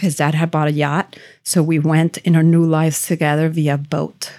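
Fairly quick speech in a Spanish accent, in a very clean recording with a silent background. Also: woman. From Venezuela, raised in Miami from age 11. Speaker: realtor. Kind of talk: interview. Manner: animated.

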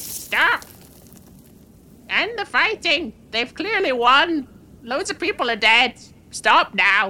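A shrill, put-on character voice swings very widely in pitch. It moves at a very slow pace with long, frequent pauses. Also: female-sounding voice, high pitch for a woman.

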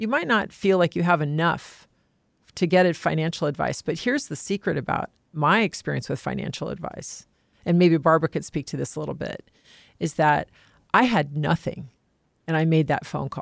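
A woman with a very deep, low voice and vocal fry speaks with ordinary pitch variation. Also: moderate pace, very clean recording, silent background. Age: 50s. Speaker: private trustee and executor. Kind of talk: casual chat.

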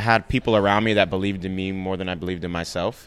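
Very deep and low, a man's voice carries an American accent, ordinary pitch variation and a fairly quick pace. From New York City (the Bronx). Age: 20s. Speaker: chef. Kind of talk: casual chat. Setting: restaurant.

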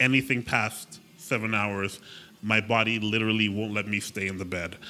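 Over music in the background, the voice holds a flat, monotone intonation at a moderate pace. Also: man. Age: 30s. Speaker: agency owner and web designer. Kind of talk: casual interview chat.

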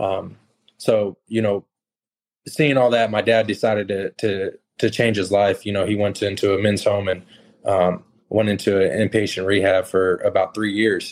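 A man with an American accent speaks at a moderate pace in a fairly low pitch. His intonation is monotone and flat, and the recording is very clean with a silent background. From California, then Texas from age 12. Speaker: contractor and stock trader. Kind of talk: casual interview chat.

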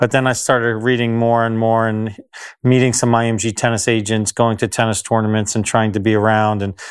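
Speaking at a fairly quick pace, a man with a New Jersey accent keeps to a monotone, flat intonation. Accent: American, New Jersey. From US, New Jersey. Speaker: tennis agent. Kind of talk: interview. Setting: on location at a tennis club.

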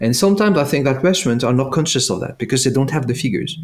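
Speaking with a French accent, a man lets his pitch swing very widely. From France. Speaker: tech product executive. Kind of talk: interview.

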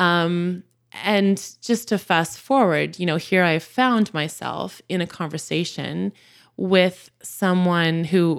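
A woman's normal speaking voice, fairly low in pitch, at a fairly slow pace on a very clean recording with a silent background. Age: 40s. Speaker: church member and podcaster. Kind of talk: casual interview.

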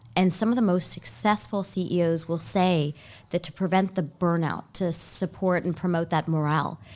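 A woman's unremarkable speaking voice with an American accent, fairly low in pitch at a moderate pace, on a very clean recording with a silent background. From Baltimore, US. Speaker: nonprofit CEO, lawyer. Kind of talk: interview, casual chat. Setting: studio. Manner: thoughtful, with fillers.

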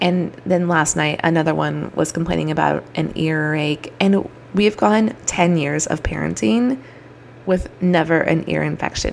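There is noticeable background noise behind a woman's voice. She speaks fairly slowly in an animated tone. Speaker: podcast host and chiropractor. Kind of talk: solo podcast monologue.

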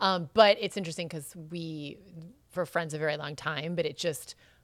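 A woman with an unremarkable speaking voice speaks at a fairly quick pace and fairly low pitch with ordinary pitch variation, on a very clean recording with a silent background. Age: 40s. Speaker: former model, reality TV personality. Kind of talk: casual chat.

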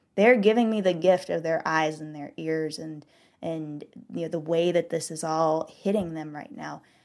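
Here is a woman with an American accent and an ordinary speaking voice, fairly low in pitch with ordinary pitch variation. The recording is very clean, with a silent background. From US South. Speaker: author. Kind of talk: interview conversation. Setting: studio.

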